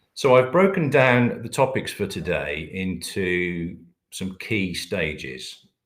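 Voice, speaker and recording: In a British accent, the speech goes at a very slow pace with very wide pitch swings and big swings in loudness. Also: man, fairly low pitch for a man. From Britain. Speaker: company managing director presenting a webinar. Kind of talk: webinar presentation. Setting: online webinar. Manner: hesitant, many filler words.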